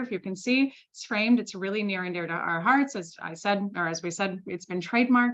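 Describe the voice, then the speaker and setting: At a fairly quick pace, a woman with a medium pitch talks with ordinary pitch variation. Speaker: sales consultant and founder. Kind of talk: webinar presentation. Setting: Zoom webinar. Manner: fast.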